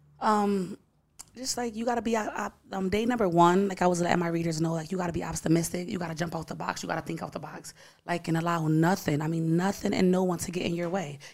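A woman's fairly low voice with an American accent, very fast pace and ordinary pitch variation. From Bridgeport, Connecticut. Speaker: author. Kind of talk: casual podcast interview. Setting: studio.

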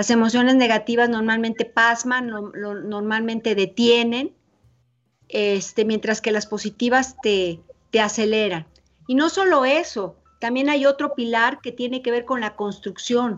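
A woman speaks at a fairly high pitch and a fairly slow pace. Her pitch varies in an ordinary way. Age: 50s. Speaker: psychologist. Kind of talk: interview. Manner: halting.

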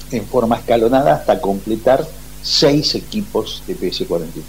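A man with medium pitch speaks at a fairly slow pace with lively intonation. He has an unremarkable speaking voice. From Argentina, Buenos Aires area. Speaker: retired air force officer, war veteran. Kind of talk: interview testimony.

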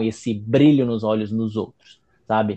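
The man's tone is dark and mellow, with fairly even intonation. The background is quiet. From Italy. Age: 20s. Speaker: Italian teacher and writer. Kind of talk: casual chat.

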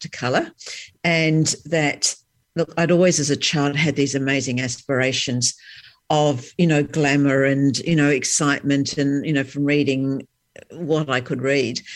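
At a fairly slow pace, a woman with a very deep, low pitch speaks with fairly even intonation. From New Zealand, Christchurch. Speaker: career coach and author. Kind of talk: interview. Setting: remote call.

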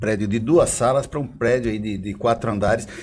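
A somewhat breathy man with lively intonation. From Brazil, Osasco (São Paulo). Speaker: podcast co-host. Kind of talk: casual chat.

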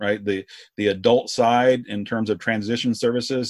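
A man talks at a fairly quick pace with a normal speaking voice at medium pitch and fairly even intonation, recorded very cleanly against a silent background with a dry, close sound and no echo. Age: 40s. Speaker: podcast host, corrections professional. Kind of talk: interview podcast.

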